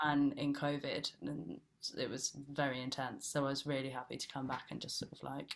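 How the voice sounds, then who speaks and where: A woman with a Bristol accent, very deep and low in pitch, fairly even intonation, moderate pace. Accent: Bristolian (her natural accent). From England, Bristol area (West Country). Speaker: actress. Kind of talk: casual interview chat. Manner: chatty, lots of fillers.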